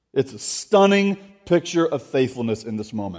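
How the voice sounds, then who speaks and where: Very wide pitch swings mark this man's speech with an American accent. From Florida. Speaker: guest preacher. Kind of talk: sermon. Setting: church. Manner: halting.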